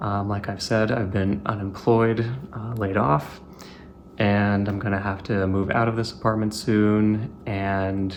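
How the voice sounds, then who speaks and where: A man's fairly low voice, fairly slow and fairly even in intonation, with audible room echo. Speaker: tech hobbyist YouTuber. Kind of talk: casual show-and-tell video narration. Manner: monotone; hesitant, many filler words.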